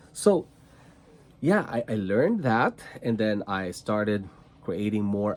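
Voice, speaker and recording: The speaker has a Filipino accent. The pace is very slow. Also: man. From Philippines, rural province. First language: Tagalog and Cebuano. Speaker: trading card content creator. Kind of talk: casual vlog monologue. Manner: slow, deliberate; halting with repetitions.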